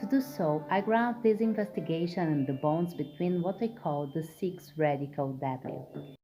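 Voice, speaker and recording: With music playing in the background, a woman speaks at a fairly low pitch and a moderate pace with hardly any pauses. Her pitch swings very widely. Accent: non-native. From Brazil. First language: Portuguese. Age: middle-aged. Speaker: artist and researcher. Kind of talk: academic research presentation.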